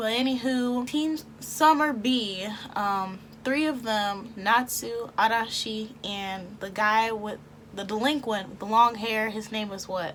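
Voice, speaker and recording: A woman with an American accent at a very slow pace, fairly high in pitch, with big swings in loudness. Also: ordinary pitch variation. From Texas. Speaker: YouTube anime reviewer. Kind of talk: casual commentary to camera. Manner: chatty, humorous.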